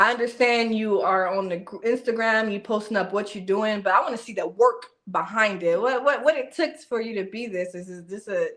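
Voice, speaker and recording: A woman with an unremarkable speaking voice, ordinary pitch variation and a fairly quick pace. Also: fairly high pitch for a woman. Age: 30s. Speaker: podcast co-host. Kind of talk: casual chat.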